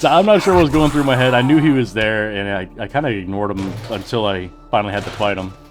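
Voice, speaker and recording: With music in the background and audible room echo, a man of medium pitch talks at a very fast pace with lively intonation. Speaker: gaming YouTuber. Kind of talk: gameplay voiceover commentary. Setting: voiceover recorded while editing. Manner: casual, unscripted; occasional stumbling on words.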